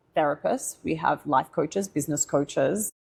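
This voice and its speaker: In an Australian accent, a woman speaks with lively intonation. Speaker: tech founder. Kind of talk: podcast interview. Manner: animated.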